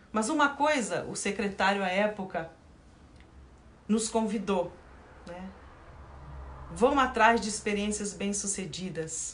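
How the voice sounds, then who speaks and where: A woman's medium-pitched voice at a very slow pace, with ordinary pitch variation, big swings in loudness, long and frequent pauses, audible room echo and noticeable background noise. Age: 60s. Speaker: Zen Buddhist nun and teacher. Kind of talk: dharma talk, livestream. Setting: online livestream.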